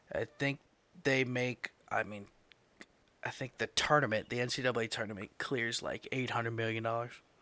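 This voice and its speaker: With a bright, sharp tone, a man speaks at a moderate pace in a flat, monotone way. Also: medium pitch for a man. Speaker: podcast host. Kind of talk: casual chat.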